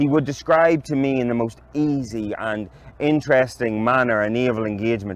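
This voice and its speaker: A man with a medium pitch and an ordinary speaking voice talks at a moderate pace with fairly even intonation. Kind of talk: literary reading. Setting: outdoors.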